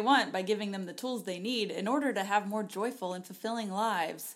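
A woman speaks in a normal speaking voice at a fairly quick pace. Her fairly high pitch shows ordinary variation. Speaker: podcast co-host. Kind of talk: casual, conversational.

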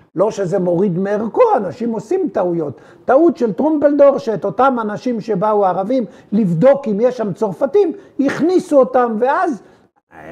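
Extremely high male pitch with very wide swings, at a moderate pace. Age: 80s+. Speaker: military historian. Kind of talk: interview. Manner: halting.

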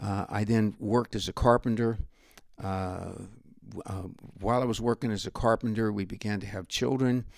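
A man with an American accent, fairly low pitch and fairly even intonation, at a moderate pace, on a very clean recording with a silent background. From northern California. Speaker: pastor. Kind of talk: testimony.

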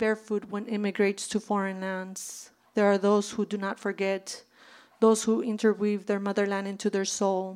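Her intonation monotone and flat, a woman talks at a medium pitch and a moderate pace. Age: 40s. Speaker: poet and author. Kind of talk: reading aloud. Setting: bookstore stage with audience.

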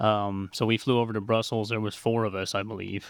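A fairly low-pitched man with an American accent speaks in a monotone, flat voice in a very clean recording with a silent background. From Montana, US. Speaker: fish biologist and warehouse manager. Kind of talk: podcast interview. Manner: hesitant, many filler words.

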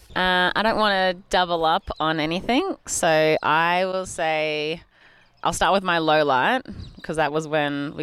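A woman with an Australian accent speaks at a moderate pace in a very deep, low voice, on a very clean recording with a silent background. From Australia, Bendigo, Victoria. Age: 30s. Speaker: cyclist and bike team manager. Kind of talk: casual chat.

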